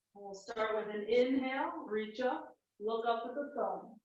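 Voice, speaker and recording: There is audible room echo as a woman speaks at a fairly high pitch with ordinary pitch variation. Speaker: yoga teacher. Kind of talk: guided yoga class. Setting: small home room. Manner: instructional, breath-paced cues.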